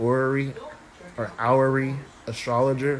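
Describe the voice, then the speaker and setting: A medium-pitched male voice is heard through noticeable background noise. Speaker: astrologer and tarot reader. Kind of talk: casual live stream chat. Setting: live video stream.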